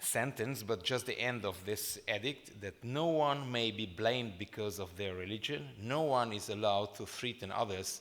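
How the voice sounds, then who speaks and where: With a Hungarian accent, a man speaks at a fairly slow pace. His pitch is fairly low, with ordinary variation. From Transylvania, Romania (Hungarian minority). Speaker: former member of European Parliament, panel speaker. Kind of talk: conference speech. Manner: halting, with fillers.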